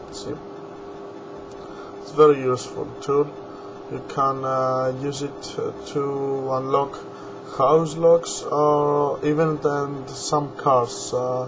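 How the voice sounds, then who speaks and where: Against noticeable background noise and audible room echo, a man speaks at a very slow pace with long, frequent pauses. His pitch is fairly high and his intonation fairly even. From Greece. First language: Greek. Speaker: hobbyist video maker. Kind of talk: tutorial. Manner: halting.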